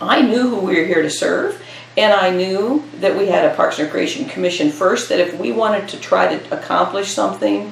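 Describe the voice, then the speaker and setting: Fairly quick woman's speech in an American accent, with noticeable background noise and audible room echo. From US Midwest, Iowa. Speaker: retired parks and recreation director. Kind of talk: oral history interview.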